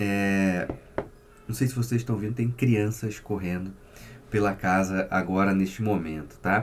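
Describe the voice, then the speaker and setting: A man with a Rio de Janeiro accent speaks at a fairly low pitch and a fairly slow pace. His pitch varies in an ordinary way, and he takes long, frequent pauses. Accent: carioca. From Rio de Janeiro, Brazil. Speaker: psychotherapist. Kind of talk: casual vlog monologue.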